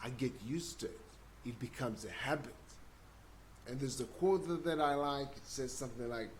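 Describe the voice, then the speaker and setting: In a room with audible echo, a somewhat breathy man with a fairly high pitch and ordinary pitch variation talks at a fairly quick pace, broken by long, frequent pauses. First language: not English. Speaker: self-development video blogger. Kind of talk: casual monologue. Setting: livestream, seated. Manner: halting, repeats words.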